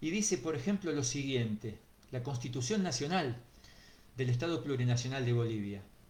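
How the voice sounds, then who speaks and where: Somewhat breathy and with lively intonation, a man speaks at a moderate pace amid audible room echo. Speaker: teacher giving a talk. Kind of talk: online lecture. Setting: online video talk. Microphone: too quiet for some listeners.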